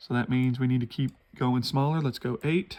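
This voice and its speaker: The speaker is a man. His pitch sits at a medium level. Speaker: woodburning hobbyist. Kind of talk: tutorial. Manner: slow, slightly halting.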